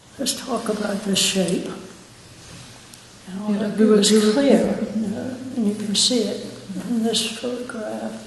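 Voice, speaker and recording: Over noticeable background noise, a woman with a fairly high pitch speaks in a monotone, flat intonation at a fairly slow pace, with long, frequent pauses. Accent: American. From Virginia, USA. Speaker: architect and builder. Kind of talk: interview answer.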